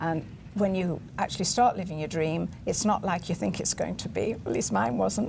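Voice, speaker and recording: The speaker has a British accent. The pace is moderate. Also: woman. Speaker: TV show guest. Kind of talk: interview.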